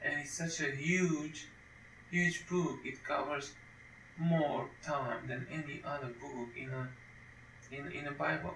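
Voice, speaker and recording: A man with a non-native accent speaks at a very slow pace, with long, frequent pauses, a fairly high pitch and fairly even intonation. Noticeable background noise and audible room echo fill the recording. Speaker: Bible teacher. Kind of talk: lecture. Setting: home recording at computer. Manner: halting, with frequent repetitions.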